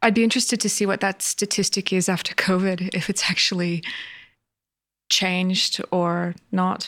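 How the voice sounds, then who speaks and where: In a very clean recording with a silent background, a woman uses a normal speaking voice at medium pitch, her intonation fairly even, her pace moderate and her loudness very even. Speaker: podcast host. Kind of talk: interview.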